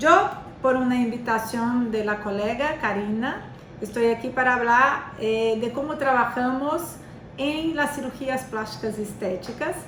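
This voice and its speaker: A woman's high-pitched voice at a fairly slow pace, with noticeable background noise and audible room echo. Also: ordinary pitch variation. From Brazil. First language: Portuguese (speaking Spanish). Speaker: physiotherapist and lecturer. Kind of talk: lecture. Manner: halting, many fillers.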